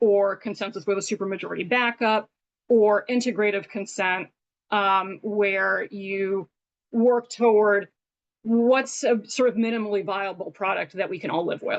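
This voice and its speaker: With a medium pitch, a woman speaks using fairly even intonation. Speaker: workshop presenter. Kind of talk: online workshop lecture. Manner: fast.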